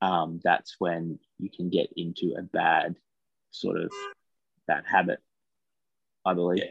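Dry and close with no echo, a man talks at a fairly slow pace with an Australian accent. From Australia, Taree NSW. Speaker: podcast co-host, mental health campaigner. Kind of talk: casual interview chat; scripted intro.

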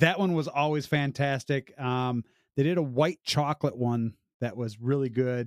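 A man with a Midwestern American accent uses ordinary pitch variation, heard in a dry, close sound with no echo on a very clean recording with a silent background. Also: medium pitch for a man, moderate pace. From Illinois, US Midwest. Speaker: beer podcast host. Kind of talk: casual chat.

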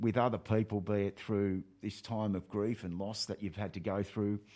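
In a very clean recording with a silent background, a man with an Australian accent speaks at a fairly low pitch with fairly even intonation. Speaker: radio host. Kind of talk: casual interview. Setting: studio.

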